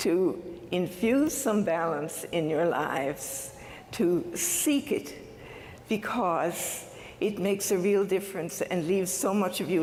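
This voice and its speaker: Medium-pitched female voice at a very slow pace with lively intonation and audible room echo. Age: 70s. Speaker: university convocation speaker. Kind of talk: commencement speech. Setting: stage with audience.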